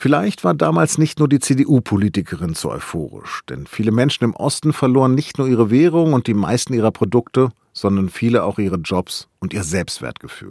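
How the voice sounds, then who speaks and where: A man speaks at medium pitch with vocal fry and very wide pitch swings. The recording is very clean, dry and close, with a silent background and no echo. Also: moderate pace. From northern Germany, Hannover. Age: 50s. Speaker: news podcast host. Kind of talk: scripted narration.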